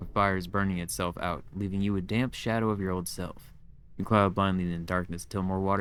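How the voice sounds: The intonation is fairly even. It belongs to a natural reading voice.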